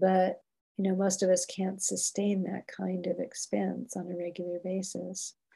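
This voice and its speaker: A woman's calm, somewhat breathy voice at medium pitch, dark and mellow in tone, with monotone, flat intonation and a fairly slow pace. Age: 70s. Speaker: parenting educator and organisation founder. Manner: calm, compassionate.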